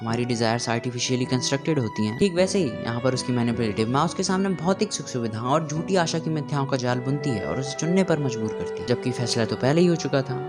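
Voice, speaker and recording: Over music in the background, a man speaks at a medium pitch and a moderate pace with lively intonation. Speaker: video essayist. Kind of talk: film analysis narration.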